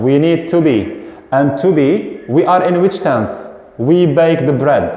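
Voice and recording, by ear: A man's voice with ordinary pitch variation, in a room with strong echo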